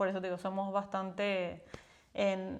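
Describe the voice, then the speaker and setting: This woman talks at a fairly slow pace. Her pitch sits in the medium range. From Paraguay. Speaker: podcast co-host. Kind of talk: casual chat.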